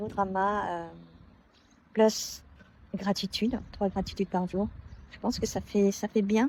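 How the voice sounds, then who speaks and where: A soft-spoken woman with a medium-pitched voice and a dark, mellow tone. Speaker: consultant and self-improvement vlogger. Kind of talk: personal vlog monologue. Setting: outdoors on a work campus. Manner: hesitant, many fillers.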